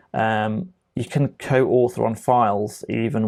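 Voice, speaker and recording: Against a quiet background, a man mumbles at a very slow pace, his fairly low pitch showing ordinary variation. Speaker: tech trainer; software trainer. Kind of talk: tutorial. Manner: mumbling; casual, with many fillers. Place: home room.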